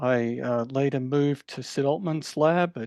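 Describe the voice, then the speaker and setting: With an Australian accent, a man speaks at a fairly slow pace in a fairly high pitch. His tone is dark and mellow, against a quiet background. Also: dry, close sound with no echo. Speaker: professor. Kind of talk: lecture.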